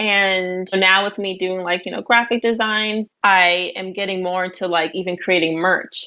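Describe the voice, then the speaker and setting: The speaker talks at a moderate pace with hardly any pauses, in a monotone, flat intonation. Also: woman, medium pitch for a woman. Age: 20s. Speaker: guest host, graphic designer. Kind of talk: casual chat.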